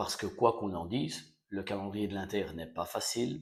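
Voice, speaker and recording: Soft-spoken and somewhat breathy, a man talks at a moderate pace with ordinary pitch variation. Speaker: football fan vlogger. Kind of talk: casual post-match reaction. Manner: hesitant, many fillers.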